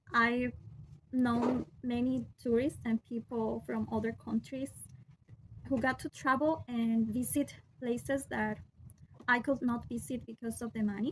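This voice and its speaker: With a Peruvian accent, a woman speaks at a fairly slow pace with long, frequent pauses. Her pitch sits fairly high and her intonation stays fairly even amid noticeable background noise. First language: Spanish. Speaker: vlogger. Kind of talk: personal vlog monologue. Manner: halting, with fillers and restarts.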